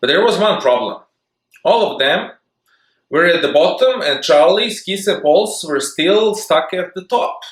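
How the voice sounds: A man's high-pitched voice with lively intonation, a fairly slow pace and audible room echo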